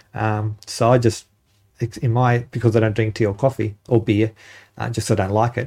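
On a very clean recording with a silent background, a man with an Australian accent talks at a moderate pace in a somewhat breathy, dark, mellow tone, with a medium pitch and monotone, flat intonation. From Northern Territory, Australia. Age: 50s. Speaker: park ranger. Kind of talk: interview. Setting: studio.

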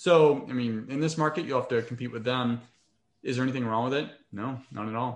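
A man speaks in a normal speaking voice at medium pitch. His intonation is fairly even and his pace fairly quick. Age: 30s. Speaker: real estate investor. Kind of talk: interview.

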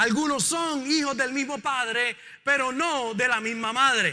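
Raised and projected, a man's voice has an extremely high pitch and a bright, sharp tone, moving at a fairly slow pace. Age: 50s. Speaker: pastor. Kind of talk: sermon. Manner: animated.

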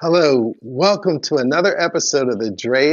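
A man with a normal speaking voice talks at a moderate pace, his intonation lively. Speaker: podcast co-host. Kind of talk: interview conversation.

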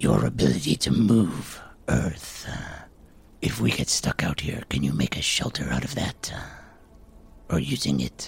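A man's put-on character voice, very deep and low, at a moderate pace with long, frequent pauses. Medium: actual play. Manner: modest, calm, practical.

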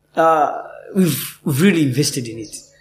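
A man's fairly high voice, somewhat breathy, at a fairly slow pace with audible room echo. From Uganda. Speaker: actor. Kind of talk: interview. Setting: theatre.

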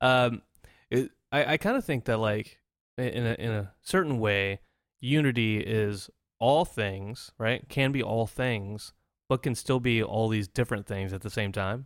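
A man speaks in an unremarkable speaking voice at a medium pitch. His pitch varies in an ordinary way. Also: fairly slow pace. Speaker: podcast host. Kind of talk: casual banter, comedic chat. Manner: joking, playful.

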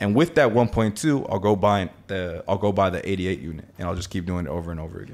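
A man with an American accent speaks very fast in a very deep, low pitch with hardly any pauses. His loudness swings widely. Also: ordinary pitch variation. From Miami, Florida. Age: 20s. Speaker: e-commerce entrepreneur. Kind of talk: interview.

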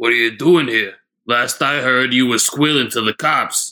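A raspy, put-on character voice from a man at a medium pitch and moderate pace. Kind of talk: 1930s radio gangster comedy. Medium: audio drama. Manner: sarcastic, grumbling.

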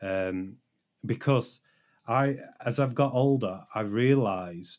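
Speaking very slowly in a British accent, a man shows ordinary pitch variation on a very clean recording with a silent background. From Britain. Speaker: software developer and stream moderator. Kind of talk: casual interview. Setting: live stream. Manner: understated, low emotion.

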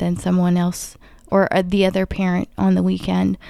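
A woman speaks quietly on a very clean recording with a silent background. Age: 30s. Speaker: guest co-host. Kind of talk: casual chat.

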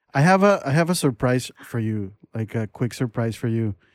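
A man with a Spanish accent, in a dry, close sound with no echo. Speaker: podcast host. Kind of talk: casual interview chat.

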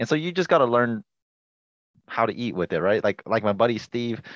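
A man with an ordinary speaking voice and a medium pitch talks at a fairly quick pace with lively intonation, the sound dry and close with no echo. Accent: American. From Washington State, US. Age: 20s. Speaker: hunting YouTube creator. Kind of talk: casual interview chat.

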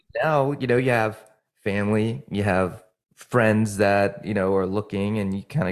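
The speech moves at a moderate pace with fairly even intonation. The recording is very clean, with a silent background. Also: man. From New Jersey, later lived in Virginia. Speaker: fitness enthusiast and obstacle racer. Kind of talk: casual interview chat.

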